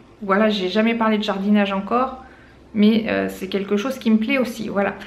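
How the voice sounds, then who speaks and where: Fairly even intonation from a woman, with noticeable background noise and audible room echo. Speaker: lifestyle vlogger. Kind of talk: casual vlog. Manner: hesitant, many fillers.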